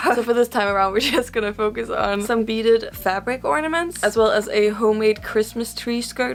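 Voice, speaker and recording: A woman mumbling at a very fast pace, with noticeable background noise. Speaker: crafter, video creator. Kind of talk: casual craft vlog voiceover.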